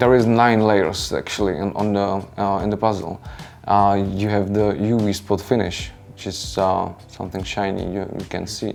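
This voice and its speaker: Music plays in the background of this clip. The voice moves at a moderate pace with monotone, flat intonation. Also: man, fairly low pitch for a man. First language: non-native English speaker. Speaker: board game designer. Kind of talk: interview. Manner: halting, many fillers.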